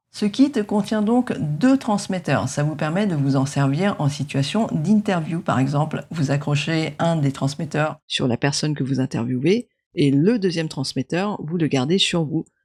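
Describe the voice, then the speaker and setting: The recording is very clean, with a silent background. The somewhat breathy voice has lively intonation and hardly any pauses. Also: woman, very deep, low pitch for a woman, fairly slow pace. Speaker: tech youtuber. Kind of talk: product review. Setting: at home. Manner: soft-spoken.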